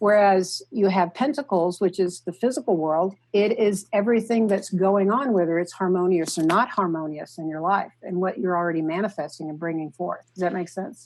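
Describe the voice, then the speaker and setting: Speaking with a slight Oklahoma accent, a woman uses a medium pitch and ordinary pitch variation at a moderate pace with hardly any pauses. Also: quiet background. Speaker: artist and tarot deck creator. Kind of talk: podcast interview. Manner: halting, many fillers.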